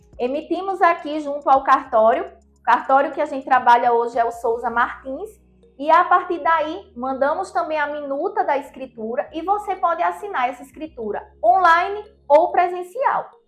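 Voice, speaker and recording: Faint music plays in the background as a woman speaks in a high voice at a moderate pace. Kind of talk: explainer to camera. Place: office. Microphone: lapel.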